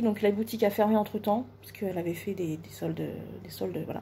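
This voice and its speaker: A somewhat breathy woman's voice, dark and mellow in tone, with ordinary pitch variation over light background noise. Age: 30s. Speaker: beauty vlogger. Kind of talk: makeup tutorial. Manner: hesitant, many fillers. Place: home room. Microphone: phone near.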